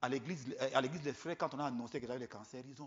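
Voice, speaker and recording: A man is speaking. The pitch is medium. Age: 70s. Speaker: visiting preacher. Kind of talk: sermon. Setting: church. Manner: halting, repeats words.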